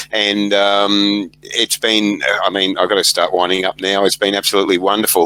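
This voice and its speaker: The voice has an Australian accent and a bright, sharp tone at a moderate pace. The sound is dry and close, with no echo. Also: man. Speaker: podcast host. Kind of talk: interview. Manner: halting.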